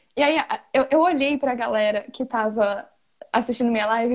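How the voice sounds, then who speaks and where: This voice belongs to a woman. Her pitch is high. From Pernambuco, Brazil. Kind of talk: casual chat. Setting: live stream. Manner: fast talker.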